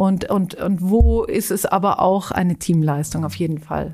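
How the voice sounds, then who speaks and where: The recording is very clean and the background silent. A woman talks fairly slowly. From Switzerland (Zurich), German-speaking family. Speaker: charity executive. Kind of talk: podcast interview.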